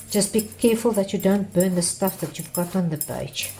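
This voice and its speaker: A woman's medium-pitched voice in a South African accent, with ordinary pitch variation. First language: Afrikaans. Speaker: art teacher. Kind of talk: tutorial. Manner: halting.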